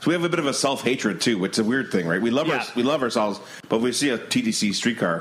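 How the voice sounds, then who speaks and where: Over noticeable background noise, a man talks at a very fast pace with very even loudness. His pitch is medium and his intonation lively. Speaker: podcast host. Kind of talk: casual chat.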